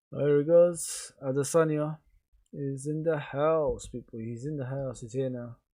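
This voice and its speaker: Quiet and dark with a mellow tone, the voice moves at a fairly slow pace with fairly even intonation and big swings in loudness on a very clean recording with a silent background. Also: man. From England. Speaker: live streamer and sports commentator. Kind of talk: live commentary. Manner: quiet, low-key.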